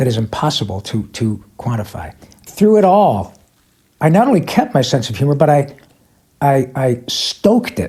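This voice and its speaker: At a moderate pace, a man with a fairly high pitch and very wide pitch swings sounds somewhat breathy, his tone dark and mellow. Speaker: voice actor. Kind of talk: interview answer.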